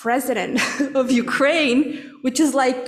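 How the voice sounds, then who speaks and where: Fairly slow, fairly even speech from a woman at a high pitch, with audible room echo. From Russia, Moscow. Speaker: congregant sharing reflections. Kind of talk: personal testimony. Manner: halting, many fillers.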